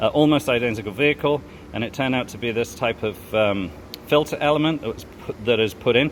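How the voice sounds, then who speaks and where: The speaker moves at a fairly quick pace with ordinary pitch variation. Background noise is noticeable. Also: man. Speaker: mechanic. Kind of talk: tutorial. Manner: fast.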